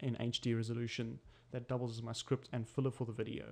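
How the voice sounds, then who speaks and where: A man at a very fast pace, medium-pitched, with monotone, flat intonation and a slight non-native accent. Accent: slight non-American, non-English. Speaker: tutorial maker. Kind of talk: tutorial. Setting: home desk recording setup.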